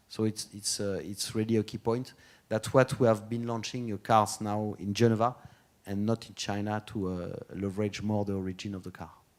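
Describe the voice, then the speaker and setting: A man with a French accent, fairly low-pitched, at a fairly quick pace, with monotone, flat intonation and big swings in loudness. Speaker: automotive brand executive. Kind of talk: conference talk and Q&A. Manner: halting, many fillers.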